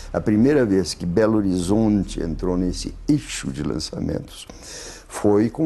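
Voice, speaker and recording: Speaking fairly slowly, a man with a very deep, low pitch makes very wide pitch swings. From Poland. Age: 80s+. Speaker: psychiatrist. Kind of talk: interview answer.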